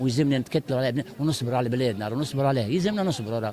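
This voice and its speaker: A man at a very fast pace and medium pitch, amid noticeable background noise. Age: 60s. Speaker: market shopper interviewed. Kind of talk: street interview.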